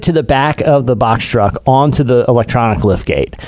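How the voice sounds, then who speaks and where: A man at a medium pitch and moderate pace, a plain, everyday voice. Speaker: podcast co-host. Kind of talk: casual chat.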